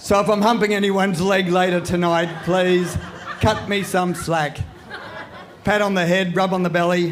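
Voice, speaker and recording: Here a man speaks at a moderate pace in a high pitch with monotone, flat intonation. Noticeable background noise and audible room echo surround him. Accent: Australian. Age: 70s. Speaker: comedian. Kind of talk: stand-up. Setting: stage with audience.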